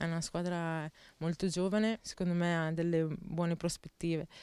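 A woman speaks at a moderate pace with a fairly low pitch. The sound is dry, with no echo. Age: 20s. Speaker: footballer. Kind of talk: interview. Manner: halting. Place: garden. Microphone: handheld.

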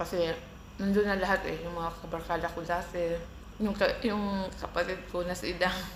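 A woman talks at a fairly low pitch with vocal fry and monotone, flat intonation. There is audible room echo. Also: moderate pace. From Philippines, Mindanao (Bisaya). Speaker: vlogger. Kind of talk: casual vlog storytelling. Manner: casual, eating while talking.

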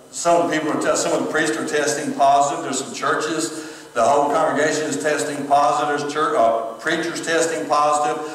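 A man is speaking. The recording has audible room echo. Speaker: pastor. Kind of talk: sermon. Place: church. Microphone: camera far.

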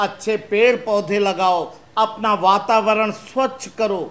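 This man's pitch is high and varies in an ordinary way. He talks at a very slow pace. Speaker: presenter. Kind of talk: explanatory talk to children. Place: studio.

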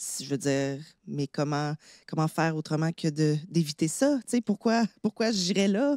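A woman with a Quebec accent speaks at a fairly slow pace and a fairly low pitch, her tone dark and mellow with lively intonation. The recording is very clean with a silent background, and the sound is dry and close with no echo. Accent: Québécois French. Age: 30s. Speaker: actress. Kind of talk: personal testimony in casual chat.

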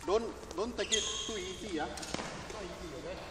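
The pace is moderate, with ordinary pitch variation. Background noise is clearly audible. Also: man, high pitch for a man.

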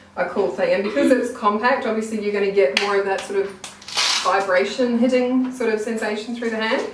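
Over audible room echo, a woman speaks at a fairly quick pace and a medium pitch, with ordinary pitch variation.

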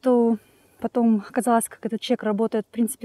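A woman talks at a fairly quick pace with a dark, mellow tone and a fairly high pitch against a quiet background. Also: dry sound with no echo. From Ukraine. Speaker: immigrant vlogger. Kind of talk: casual vlog monologue. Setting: outdoors, walking in a park. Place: open country. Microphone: phone near.

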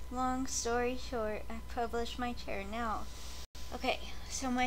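At a very slow pace, a woman speaks over light background noise. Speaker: vlogger. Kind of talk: casual vlog chat. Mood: excited, rambling. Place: home room. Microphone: webcam.

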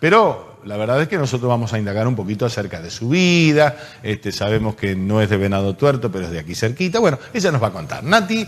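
A man talks at a fast pace with few pauses, his fairly low pitch making big swings.

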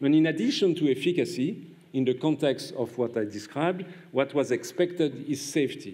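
In a French accent, a man speaks at a moderate pace with a fairly high pitch, lively intonation and a dark, mellow tone. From France. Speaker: pediatrician and immunologist, prize laureate; award lecturer. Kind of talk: lecture. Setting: stage with audience. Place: hall. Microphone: podium.

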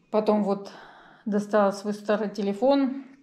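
This woman speaks in a dark, mellow tone with fairly even intonation. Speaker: vlogger. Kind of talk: casual vlog chat. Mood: wry, resigned storytelling. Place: home room. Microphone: phone near.

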